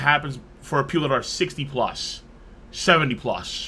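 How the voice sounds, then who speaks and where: This is a man talking. His tone is bright and sharp. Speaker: livestreamer. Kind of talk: livestream commentary. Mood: somber, reflective. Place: home room.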